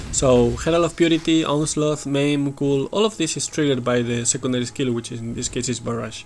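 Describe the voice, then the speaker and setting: A man with a Spanish accent talks at a fairly high pitch with ordinary pitch variation. His pace is fairly quick, with hardly any pauses. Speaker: gaming video creator. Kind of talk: gameplay commentary. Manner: halting, many fillers.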